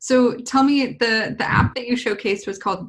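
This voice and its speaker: In an American accent, a woman speaks at a fairly slow pace with a fairly high pitch. Her voice carries vocal fry. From US West Coast, San Diego (Lakeside). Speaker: podcast host and coding school CEO. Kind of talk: casual interview.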